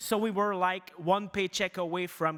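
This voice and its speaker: A man speaks with a strong Quebec accent. His voice is high in pitch. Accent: thick French Canadian. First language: French. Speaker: news media executive. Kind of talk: conference presentation. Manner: halting, many fillers.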